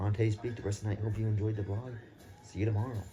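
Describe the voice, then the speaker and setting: A fairly low-pitched man over noticeable background noise. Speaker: vlogger. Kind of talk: casual vlog. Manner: animated; soft-spoken.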